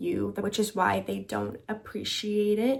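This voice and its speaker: Soft-spoken, a woman talks at a fairly slow pace with a fairly high pitch. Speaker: lifestyle and self-help youtuber. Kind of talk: vlog-style advice monologue. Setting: at home at night. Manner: soft, quiet delivery.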